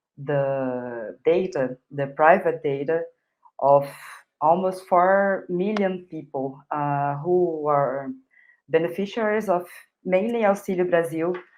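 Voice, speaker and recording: With a very deep, low pitch and ordinary pitch variation, a woman speaks at a very slow pace. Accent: Brazilian. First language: Portuguese. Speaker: journalist. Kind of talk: live news interview. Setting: live online broadcast. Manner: hesitant, many fillers.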